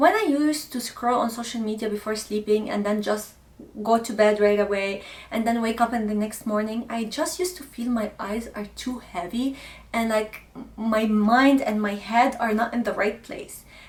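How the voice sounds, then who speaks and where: A woman's fairly high-pitched voice in an Arabic accent, with ordinary pitch variation, at a moderate pace. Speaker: lifestyle content creator. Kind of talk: casual vlog talk to camera.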